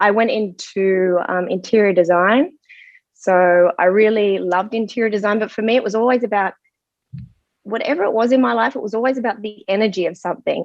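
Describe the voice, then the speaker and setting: The voice has an American accent and ordinary pitch variation. Its pace is fairly quick. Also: woman, medium pitch for a woman. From Australia. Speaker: medical intuitive. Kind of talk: interview, personal story.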